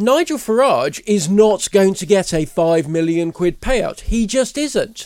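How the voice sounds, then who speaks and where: This man has a high voice and lively intonation, talking at a fairly slow pace with hardly any pauses. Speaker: commentator. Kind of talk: angry rant, indignant tirade against bank and cancel culture. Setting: studio. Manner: indignant, emphatic, scornful.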